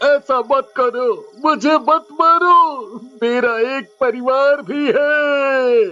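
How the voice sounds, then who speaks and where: In a put-on character voice, the speaker uses a high pitch at a very slow pace. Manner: panicked, stammering.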